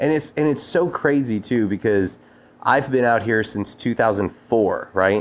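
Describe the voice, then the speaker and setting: In an ordinary speaking voice, a man talks at a fairly slow pace, medium in pitch with ordinary variation and very even loudness. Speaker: podcast host. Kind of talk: casual interview. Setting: studio.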